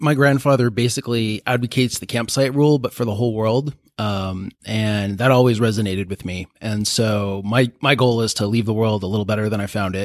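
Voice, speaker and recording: A man with an American accent has an unremarkable speaking voice at a medium pitch. He talks at a fairly quick pace with fairly even intonation and hardly any pauses. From US, San Diego, California. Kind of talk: group discussion around a table.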